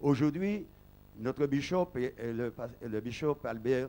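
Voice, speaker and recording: A man talks at a very slow pace in a dark, mellow tone. His intonation is lively. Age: 60s. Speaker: pastor. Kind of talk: testimony speech at an ordination service. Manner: halting.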